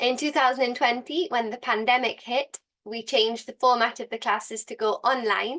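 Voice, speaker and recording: Here a woman speaks in a Newcastle accent at a fairly quick pace. Her fairly high voice shows ordinary pitch variation against a quiet background. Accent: northern English, from Newcastle. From northeast England, Newcastle. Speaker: English teacher. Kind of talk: online course introduction.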